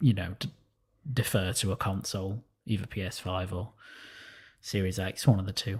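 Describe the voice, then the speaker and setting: Recorded very cleanly against a silent background, a man with a fairly low, somewhat breathy voice speaks at a moderate pace with fairly even intonation and long, frequent pauses. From northern England, Sheffield. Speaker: gaming podcast panelist. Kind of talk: casual chat.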